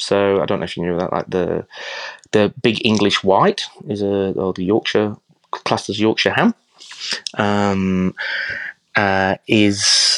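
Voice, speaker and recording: The speech is very slow, with long, frequent pauses. Intonation stays monotone and flat in a dry, close sound with no echo. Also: man, fairly low pitch for a man. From England. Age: 40s. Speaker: chef. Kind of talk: casual interview chat.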